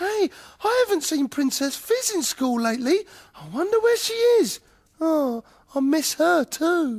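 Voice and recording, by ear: Here is a cartoonish character voice at a high pitch. It swings very widely in pitch at a moderate pace.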